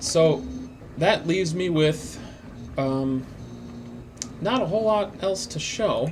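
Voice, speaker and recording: A man's high-pitched voice at a very slow pace, with long, frequent pauses, ordinary pitch variation and audible room echo. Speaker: 3D printing maker and YouTuber. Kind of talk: live stream tutorial. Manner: halting with many fillers; casual, rambling.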